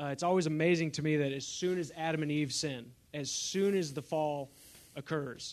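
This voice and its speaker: Here is a man with an ordinary speaking voice, fairly high in pitch. His intonation is fairly even and his pace moderate. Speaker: equipping resident sharing. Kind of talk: short testimony in class.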